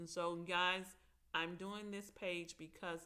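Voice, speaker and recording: The tone is bright and sharp, delivered in a Mississippi accent. The intonation stays flat and monotone throughout. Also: woman. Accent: Mississippi Southern. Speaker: aspiring TV writer and vlogger. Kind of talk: casual vlog monologue.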